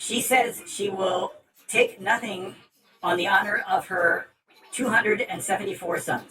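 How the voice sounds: Quiet background behind a natural reading voice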